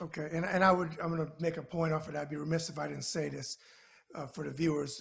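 This man speaks very fast with an American accent. His pitch is fairly high. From New York. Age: 50s. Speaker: web show host. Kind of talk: interview. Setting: video call. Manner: animated. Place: office. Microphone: video call.

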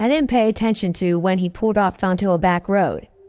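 This is a plain, everyday voice with ordinary pitch variation. The pace is fairly quick. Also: woman. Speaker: scary story narrator. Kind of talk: ghost story telling, reading listener-submitted tales aloud.

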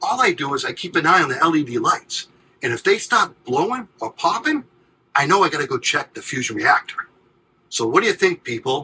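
A man's fairly high, bright, sharp voice with a husky, rough edge, big pitch swings and a fairly quick pace

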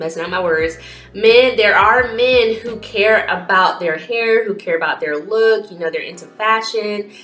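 Someone speaks at a fairly slow pace with ordinary pitch variation amid audible room echo. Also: woman. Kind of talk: casual vlog chat. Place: home room. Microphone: phone near.

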